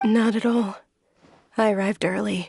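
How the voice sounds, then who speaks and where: A woman's raspy, put-on character voice at a medium pitch, monotone and flat in intonation, at a moderate pace. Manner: weary, polite, reassuring.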